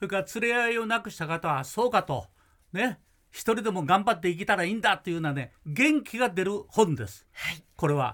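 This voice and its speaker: In a very clean recording with a silent background, a man with a high pitch speaks in an animated, bright, sharp tone, with lively intonation and big swings in loudness. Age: 80s+. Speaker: music producer. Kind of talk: casual chat. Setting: studio.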